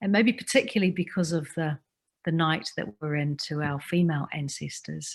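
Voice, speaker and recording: Somewhat breathy, fairly low-pitched woman with a New Zealand accent, moderate pace, quiet background. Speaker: Maori language advocate and speaker. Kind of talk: personal reflective talk. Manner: halting, with repetitions.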